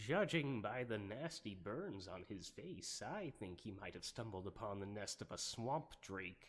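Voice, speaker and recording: Using a put-on character voice, a man speaks at a fairly low pitch and a moderate pace with hardly any pauses. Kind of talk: ASMR roleplay. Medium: solo performance. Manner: hesitant, rambling, many filler words.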